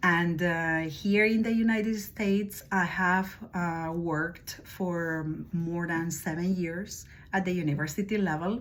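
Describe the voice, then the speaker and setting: Speaking with a Spanish accent, a woman with a fairly low pitch talks at a fairly slow pace with fairly even intonation and audible room echo. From Spain, Madrid. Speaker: language teacher. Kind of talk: self-introduction video. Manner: hesitant, many fillers.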